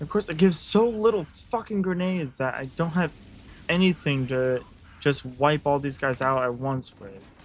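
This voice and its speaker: Music in the background behind a man's fairly high-pitched voice, moderate pace, lively intonation, and big swings in loudness. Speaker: gaming streamer. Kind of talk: live gameplay commentary. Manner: animated.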